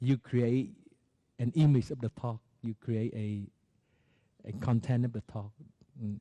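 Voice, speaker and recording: A man's dark, mellow voice with a non-native accent, fairly even intonation, a fairly slow pace and long, frequent pauses. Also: medium pitch for a man, dry, close sound with no echo. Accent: non-native, unfamiliar to listeners. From Vietnam. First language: Vietnamese. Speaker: Buddhist monastic teacher. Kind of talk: dharma talk. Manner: halting, with frequent fillers.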